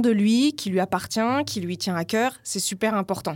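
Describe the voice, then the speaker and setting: An unremarkable speaking voice comes from a woman at a moderate pace. Her pitch varies in an ordinary way. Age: 40s. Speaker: life coach and yoga teacher. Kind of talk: casual interview.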